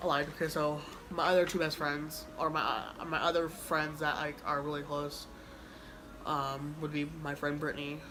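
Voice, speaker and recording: A woman mumbles at a moderate pace in a very deep, low voice with monotone, flat intonation and an American accent, with audible room echo and noticeable background noise. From Kansas, US. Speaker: YouTuber. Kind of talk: casual chat. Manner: mumbling; halting.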